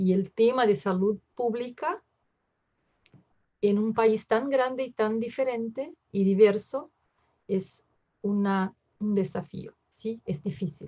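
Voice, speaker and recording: A woman with a Portuguese accent speaks very slowly at a medium pitch, her voice somewhat breathy and her pitch varying in an ordinary way. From southern Brazil, Porto Alegre. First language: Portuguese (speaking Spanish). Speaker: emergency physician. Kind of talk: lecture. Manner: halting, many fillers.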